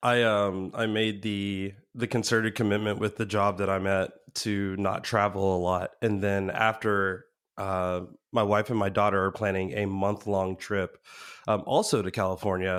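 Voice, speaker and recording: Monotone, flat intonation at a moderate pace on a very clean recording with a silent background. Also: man, fairly low pitch for a man. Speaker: podcast guest. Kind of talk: casual chat.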